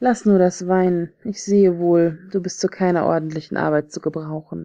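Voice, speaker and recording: A woman speaks in a calm, soothing tone at a moderate pace. Her voice is dark and mellow. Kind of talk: fairy tale audiobook reading.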